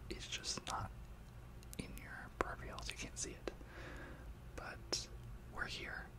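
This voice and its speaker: A soft-spoken man talks at a fairly slow pace. Loud background noise fills the recording. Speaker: ASMR creator. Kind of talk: soft-spoken ASMR talk to viewers. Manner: soft, close-mic ASMR speaking. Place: home room. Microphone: studio mic.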